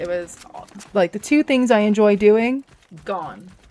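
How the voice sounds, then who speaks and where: In a Canadian accent, a woman with an unremarkable speaking voice talks at a moderate pace and a medium pitch. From Canada, Toronto area, Ontario. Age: 30s. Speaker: gaming streamer. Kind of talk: casual live-stream chat.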